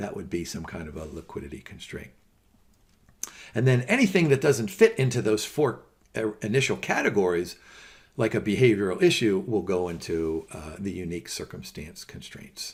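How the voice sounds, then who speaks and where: A man's fairly low, somewhat breathy voice at a moderate pace, with very wide pitch swings and big swings in loudness, against a quiet background. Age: 60s. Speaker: professor. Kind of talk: lecture. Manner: casual, with many fillers.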